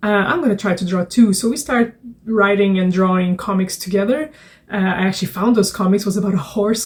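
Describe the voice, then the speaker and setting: A woman with a medium-pitched, somewhat breathy voice speaks at a fairly quick pace with ordinary pitch variation. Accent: Portuguese. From Portugal. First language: Portuguese. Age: 30s. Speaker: children's book author and illustrator. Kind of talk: casual vlog talk. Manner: hesitant, many fillers.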